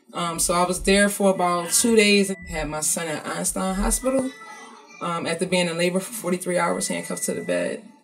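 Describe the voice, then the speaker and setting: A woman's medium-pitched voice with an American accent, ordinary pitch variation and a fairly quick pace, over music in the background. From North Philadelphia. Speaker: hip-hop artist and advocate. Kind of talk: interview answer.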